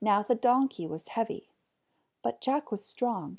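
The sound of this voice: A woman at a fairly slow pace, slightly husky at the edges, slightly mellow in tone, with big pitch swings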